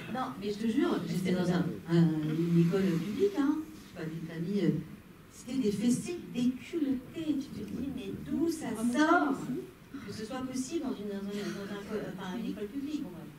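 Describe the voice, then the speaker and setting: Amid noticeable background noise and audible room echo, a woman speaks at medium pitch and a moderate pace, with very wide pitch swings and big swings in loudness. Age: 60s. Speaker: actress. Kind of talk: panel discussion after screening. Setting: cinema with audience.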